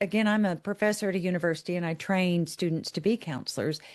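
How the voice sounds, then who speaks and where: Against a quiet background, a woman speaks in a plain, everyday voice at medium pitch with ordinary pitch variation. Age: 60s. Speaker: professor. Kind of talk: casual chat.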